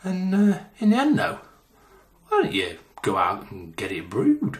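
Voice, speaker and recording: A man speaks in a British accent with audible room echo. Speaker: homebrewing youtuber. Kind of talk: casual vlog outro. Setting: at home, talking to camera. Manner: quiet.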